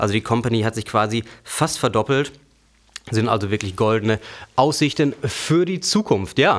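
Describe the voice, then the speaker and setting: He has an unremarkable speaking voice, pitched at a medium level. The man's intonation is lively, and his pace is moderate. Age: 20s. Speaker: finance podcast host. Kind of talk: news reading.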